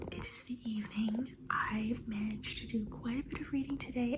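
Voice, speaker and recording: There is audible room echo and noticeable background noise. A soft-spoken woman whispers. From US Northwest (Oregon). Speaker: book vlogger. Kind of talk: casual vlog. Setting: home at night, others sleeping. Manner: quiet, soft-spoken; whispering.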